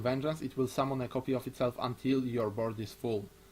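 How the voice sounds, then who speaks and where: Fairly even intonation in a somewhat breathy voice. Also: man. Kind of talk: casual discussion.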